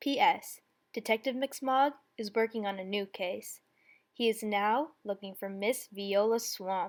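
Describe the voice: Against a quiet background, someone does plain reading aloud with ordinary pitch variation.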